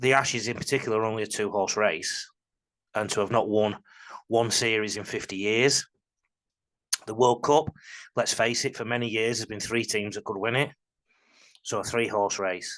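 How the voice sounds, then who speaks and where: Over a quiet background, a man with a medium pitch and fairly even intonation speaks at a moderate pace, taking long, frequent pauses. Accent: northern English. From northern England. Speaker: rugby league coach and commentator. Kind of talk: video analysis monologue. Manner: emotional, passionate.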